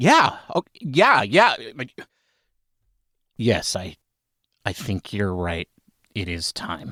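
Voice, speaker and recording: A man puts on a raspy character voice with fairly low pitch. He speaks at a very slow pace with long, frequent pauses. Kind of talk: casual.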